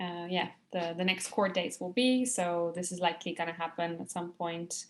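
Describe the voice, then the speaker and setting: A woman with a Dutch accent speaks in a medium pitch at a moderate pace against a quiet background. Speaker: climate campaigner. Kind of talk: webinar panel discussion. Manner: hesitant, many fillers.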